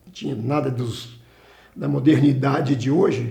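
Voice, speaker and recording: A man of medium pitch with a dark, mellow tone and vocal fry at a fairly slow pace, in audible room echo. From Brazil, Minas Gerais (Carangola). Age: 70s. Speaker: retired salesman and company employee. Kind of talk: oral history interview. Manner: halting, with frequent restarts.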